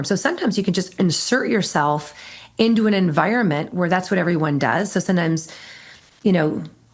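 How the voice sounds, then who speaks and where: Someone with an American accent talks at a very fast pace in an animated tone with ordinary pitch variation, over noticeable background noise. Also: woman. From Minnesota, US Midwest. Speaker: Marine Corps veteran and bravery expert. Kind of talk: podcast interview.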